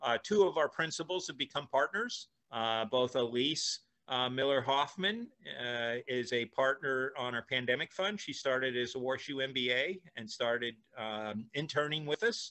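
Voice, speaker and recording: A man with an American accent talks at a moderate pace in an unremarkable speaking voice against a quiet background. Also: medium pitch for a man, ordinary pitch variation. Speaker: venture capitalist and entrepreneur. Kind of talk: casual interview. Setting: video call. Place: home room. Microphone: video call.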